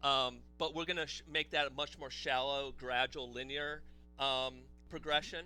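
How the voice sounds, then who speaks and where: Moderate-paced speech from a man, with music in the background. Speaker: game developer. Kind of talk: casual chat. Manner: loud.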